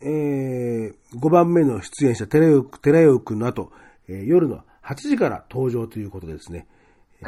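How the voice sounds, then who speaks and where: Lively intonation marks this man's medium-pitched voice, which has a dark, mellow tone. He keeps a moderate pace in a very clean recording with a silent background. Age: 50s. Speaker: podcast host. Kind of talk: casual chat. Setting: studio.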